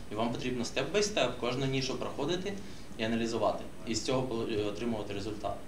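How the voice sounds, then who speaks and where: Very fast talk from a man with lively intonation over noticeable background noise. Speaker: social media marketer. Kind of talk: workshop discussion. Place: meeting room. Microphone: camera far.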